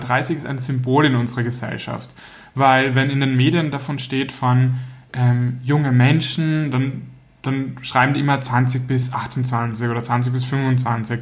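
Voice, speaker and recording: Speaking at a fairly slow pace, a man sounds somewhat breathy, his intonation monotone and flat against audible room echo. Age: 30s. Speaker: podcast co-host. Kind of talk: casual chat.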